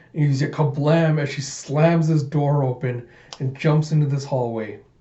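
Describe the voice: A man talks at a moderate pace and a medium pitch. His tone is dark and mellow, with fairly even intonation.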